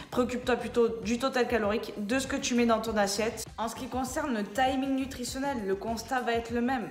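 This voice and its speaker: A loud, high-pitched woman at a fairly quick pace with hardly any pauses, with audible room echo and noticeable background noise. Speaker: personal trainer. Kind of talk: casual explainer vlog. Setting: indoors. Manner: animated.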